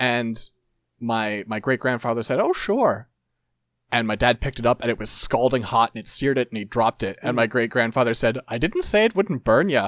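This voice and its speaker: A man with an unremarkable speaking voice talks at a fairly quick pace, his pitch medium and its variation ordinary. The recording is very clean with a silent background, and the sound is dry and close with no echo. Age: 30s. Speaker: podcast host. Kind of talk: casual banter.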